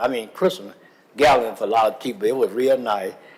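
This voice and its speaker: A man's pitch shifts in an ordinary way as noticeable noise lingers in the background. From US South. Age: 70s. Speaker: public commenter at council meeting. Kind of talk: public comment. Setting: city council chamber. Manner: halting, many fillers.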